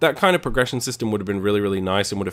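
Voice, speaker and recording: The speaker is a man. He talks in an Australian accent. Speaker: video game reviewer. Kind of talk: review commentary. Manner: casual, conversational.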